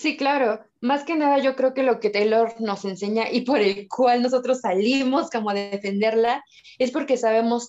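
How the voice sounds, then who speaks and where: An unremarkable speaking voice from a woman, fairly high in pitch, with ordinary pitch variation at a fairly slow pace. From Mexico. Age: 20s. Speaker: photographer and TikTok creator. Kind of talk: casual chat.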